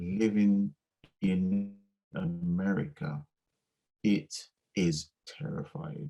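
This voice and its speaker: A man's fairly low voice in an English accent, very slow with long, frequent pauses and very wide pitch swings, music in the background. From Essex, England. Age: 50s. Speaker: music producer. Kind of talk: interview. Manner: halting.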